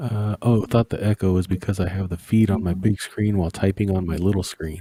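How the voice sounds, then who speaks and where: A man talks at a fairly quick pace in a fairly low, dark, mellow voice that is somewhat breathy, with monotone, flat intonation. The recording is very clean, with a silent background and a dry, close sound with no echo. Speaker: livestream host. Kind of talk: casual chat. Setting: livestream. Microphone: mic turned way down, close to mouth; echo on the stream audio.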